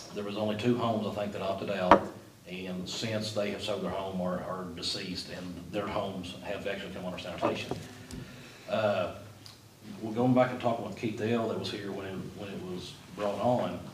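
A man talks at a fairly quick pace. Noticeable background noise runs behind him. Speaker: city official reporting to commission. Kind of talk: meeting discussion. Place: meeting room. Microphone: camera far.

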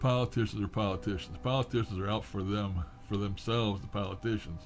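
Faint music behind a man's fairly low voice at a moderate pace. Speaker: vlogger. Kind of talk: casual vlog chat. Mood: opinionated, ranting about politicians. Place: home room.

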